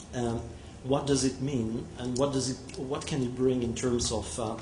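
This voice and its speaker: A man with a French accent speaks at a moderate pace and medium pitch, his intonation fairly even, with noticeable background noise and audible room echo. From France. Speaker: telecom technology executive. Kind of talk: conference presentation. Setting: conference hall with audience. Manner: halting, many fillers.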